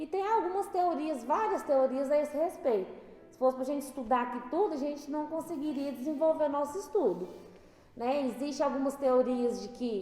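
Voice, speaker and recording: Over noticeable background noise, a woman speaks at a moderate pace. Her high voice has lively intonation. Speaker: spiritist study leader. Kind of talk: religious study talk. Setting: spiritist center.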